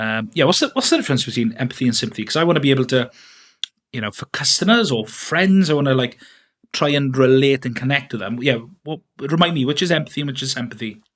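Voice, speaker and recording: A man talks at a very fast pace in a Welsh accent, his medium pitch showing ordinary pitch variation. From Wales. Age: 30s. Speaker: podcast host, filmmaker. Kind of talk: interview podcast. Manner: hesitant, many fillers.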